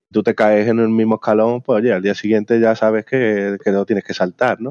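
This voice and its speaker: A man speaks fairly quickly in a dark, mellow tone with monotone, flat intonation. The sound is dry and close with no echo, over a quiet background. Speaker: software company founder. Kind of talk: interview.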